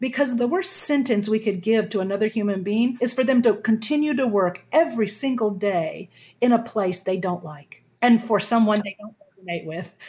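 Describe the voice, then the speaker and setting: In a plain, everyday voice, a woman with a fairly high pitch talks at a moderate pace with ordinary pitch variation and hardly any pauses. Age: 60s. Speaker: communication coach. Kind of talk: interview.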